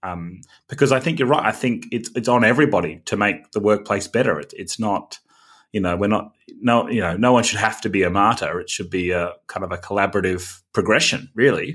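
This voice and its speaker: This is a man with an ordinary speaking voice. He talks fairly quickly at a fairly low pitch, with ordinary pitch variation. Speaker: podcast host. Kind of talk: interview conversation.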